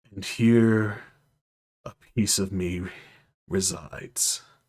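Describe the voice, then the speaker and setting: A man puts on a character voice that sounds resonant. He speaks at a very slow pace. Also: fairly low pitch for a man. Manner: powerful, awe-inspiring.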